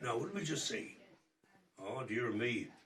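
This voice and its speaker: A man with an Irish Midlands accent and lively intonation at a moderate pace, with audible room echo. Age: 80s+. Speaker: singer. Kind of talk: casual chat. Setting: at home.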